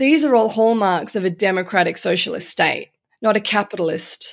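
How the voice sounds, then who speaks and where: In an Australian accent, a woman speaks at a medium pitch and moderate pace with ordinary pitch variation, on a very clean recording with a silent background. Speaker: journalist. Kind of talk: interview conversation.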